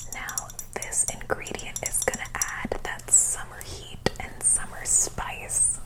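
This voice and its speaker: Whispering at a very slow pace in a playful tone, a woman speaks over noticeable background noise. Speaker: ASMR cooking host, comedic persona. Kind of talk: ASMR cooking show parody, whispered recipe explanation. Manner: soft-spoken, whispered, playful.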